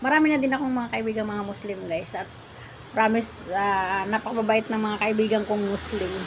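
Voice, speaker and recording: Over noticeable background noise, a woman talks at a fairly quick pace and fairly high pitch, with ordinary pitch variation. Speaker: vlogger, former OFW. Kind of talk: casual vlog greeting. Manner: animated.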